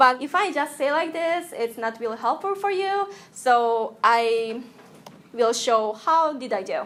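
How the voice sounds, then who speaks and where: A woman's high-pitched voice with a Japanese accent, very wide pitch swings and a fairly slow pace. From Japan (Tokyo). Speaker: UI designer, guest speaker. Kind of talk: lecture. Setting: classroom with audience. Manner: halting.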